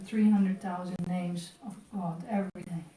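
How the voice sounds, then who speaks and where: A woman is speaking here. Audible room echo surrounds her voice. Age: 60s. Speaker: temple class speaker. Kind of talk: religious class.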